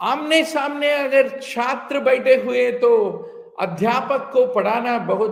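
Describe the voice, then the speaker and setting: A man speaking at a very slow pace with audible room echo. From India, Telugu-speaking region. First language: Telugu. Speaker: physician and exam coaching teacher. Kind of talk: online lecture mixing English and Hindi. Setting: live online class, teaching to camera.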